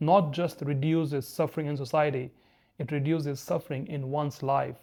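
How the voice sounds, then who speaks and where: At a fairly slow pace, a speaker with an Indian accent sounds somewhat breathy. The recording is very clean, with a silent background. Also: man. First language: Hindi. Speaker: spiritual video essayist. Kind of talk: reflective monologue.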